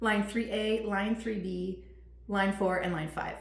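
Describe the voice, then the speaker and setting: A woman speaks at a medium pitch amid noticeable background noise and audible room echo. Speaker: teacher running a parenting webinar. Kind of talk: webinar presentation. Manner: many fillers (um, uh).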